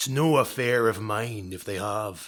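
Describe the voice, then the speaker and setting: Using a put-on character voice, a man speaks with a raspy, medium-pitched sound at a moderate pace. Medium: read story. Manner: hard, scornful.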